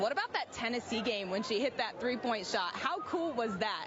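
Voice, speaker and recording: Crowd noise fills the background as a woman speaks with an American accent. Her pitch is fairly high with ordinary variation, and her pace is fairly quick. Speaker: sports anchor and reporter. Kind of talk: TV sports anchor desk read.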